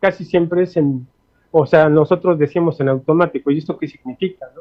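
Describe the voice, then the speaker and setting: The pitch of this man's voice is fairly high and varies in an ordinary way. He speaks fairly quickly. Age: 60s. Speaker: linguist. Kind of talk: interview. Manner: halting, many fillers.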